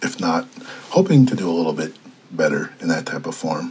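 A man talks at a medium pitch and a fairly quick pace, his pitch swinging very widely. Noticeable background noise is present. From Minnesota, Red Lake reservation. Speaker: journalist. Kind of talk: interview.

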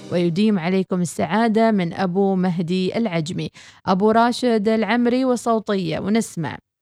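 Over music in the background, a woman talks at a fairly slow pace and medium pitch, with ordinary pitch variation, very even loudness and hardly any pauses. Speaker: radio host. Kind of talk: reading listener messages; news reading.

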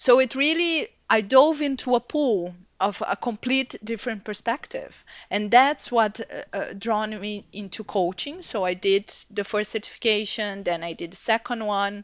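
Intonation is lively, in a Portuguese accent. The pace is moderate. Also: woman, fairly high pitch for a woman. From Brazil. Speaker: executive coach. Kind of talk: interview. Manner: halting.

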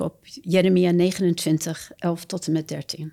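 A dark, mellow tone comes through in a dry, close sound with no echo. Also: woman. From Japan, American missionary family. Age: 70s. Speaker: missionary and author. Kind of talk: testimony.

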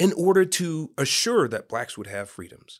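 A man speaks with a Californian accent. His pitch is high. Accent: Californian American English. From San Francisco, Northern California. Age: 50s. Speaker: nonprofit founder. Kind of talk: interview.

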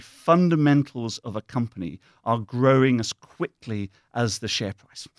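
In a British accent, a man talks at a fairly slow pace with lively intonation, the sound dry and close with no echo on a very clean recording with a silent background. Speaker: investment officer guest. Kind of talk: interview conversation. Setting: studio. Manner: thoughtful, hesitant with fillers.

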